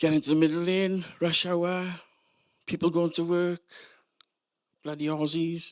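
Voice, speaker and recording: Over a quiet background, a man with a South Wales Valleys accent talks at a fairly slow pace in a high pitch, his intonation monotone and flat, with long, frequent pauses. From Wales, South Wales Valleys. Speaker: storyteller. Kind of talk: comedic storytelling.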